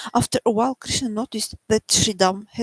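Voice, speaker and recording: Soft-spoken, a woman uses lively intonation in a dry, close sound with no echo. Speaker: devotional teacher. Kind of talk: religious reading with commentary. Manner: halting.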